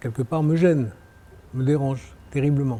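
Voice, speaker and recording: This man speaks at a fairly high pitch. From France. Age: 60s. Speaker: real estate developer. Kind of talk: interview. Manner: hesitant, many fillers and repetitions.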